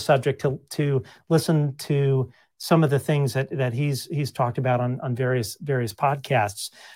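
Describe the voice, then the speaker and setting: A man speaks with an American accent and fairly even intonation, sounding somewhat breathy. The recording is very clean with a silent background. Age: 50s. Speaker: political activist and podcast host. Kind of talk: casual interview chat. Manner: halting, frequent restarts.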